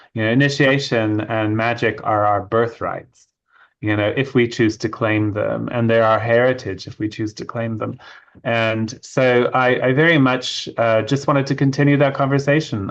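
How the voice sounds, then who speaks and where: Against a quiet background, a man speaks at a moderate pace and medium pitch. He has a slight British accent and fairly even intonation. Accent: slight British hint. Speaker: author and witchcraft initiate. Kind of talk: interview.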